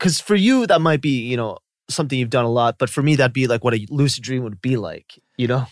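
A man with a Californian accent talks very fast at a medium pitch, with ordinary pitch variation. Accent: Californian American English. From US, Los Angeles Koreatown. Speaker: YouTuber. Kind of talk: casual chat.

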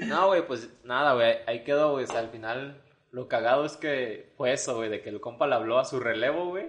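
A man with an ordinary speaking voice, fairly high-pitched, at a moderate pace and with ordinary pitch variation. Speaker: podcast host. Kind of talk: casual chat.

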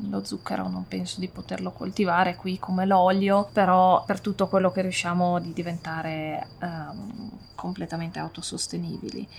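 With noticeable background noise around her, a woman talks at a medium pitch. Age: 30s. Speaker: farmer. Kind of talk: interview. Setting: on the farm.

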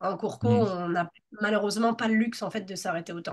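Very fast speech from a woman, her pitch fairly high and its variation ordinary. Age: 30s. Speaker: Pilates teacher. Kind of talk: interview.

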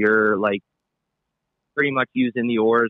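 In a Pennsylvania accent, a man speaks at a fairly low pitch with fairly even intonation. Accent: Pennsylvania (US Mid-Atlantic). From Pennsylvania, Palmerton. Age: 40s. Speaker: fishing guide. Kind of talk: casual interview.

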